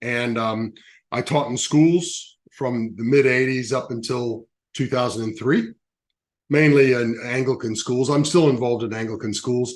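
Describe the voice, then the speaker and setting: The speech comes in an American accent at a fairly slow pace. The background is quiet. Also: man, medium pitch for a man. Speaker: education business CEO. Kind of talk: interview. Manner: halting.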